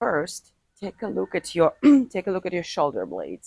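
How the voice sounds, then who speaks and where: A woman speaks with a non-native accent. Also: dry, close sound with no echo. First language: not English. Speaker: martial arts teacher. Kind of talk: tutorial. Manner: halting.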